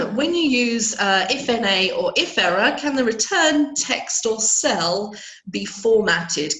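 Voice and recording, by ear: With audible room echo, a woman speaks slowly in a croaky voice with vocal fry, a fairly bright tone and lively intonation.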